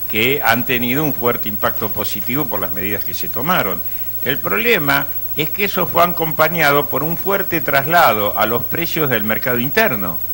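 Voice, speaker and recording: Against noticeable background noise, a man at medium pitch talks at a moderate pace, his pitch swinging very widely. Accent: Argentine. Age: 60s. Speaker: economist. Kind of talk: interview.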